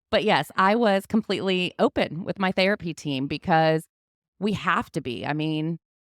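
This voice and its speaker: Recorded very cleanly with a silent background and a dry, close sound with no echo, a woman speaks at a moderate pace in a fairly low pitch with ordinary pitch variation. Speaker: podcast host sharing personal recovery story. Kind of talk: interview, personal testimony. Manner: talkative.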